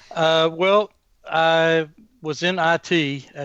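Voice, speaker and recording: This man speaks with an Atlanta accent. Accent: Southern US (Atlanta). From Atlanta area, US South. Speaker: continuous improvement consultant. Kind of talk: podcast interview.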